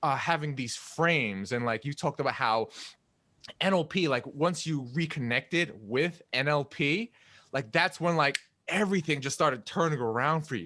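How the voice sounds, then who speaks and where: Lively intonation and a bright, sharp tone carry this voice at a moderate pace. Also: man, fairly high pitch for a man. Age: 30s. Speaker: podcast host. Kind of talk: casual interview chat. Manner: rambling with many fillers.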